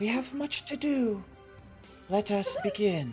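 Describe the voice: A man's high-pitched put-on character voice at a fairly slow pace, with clear music in the background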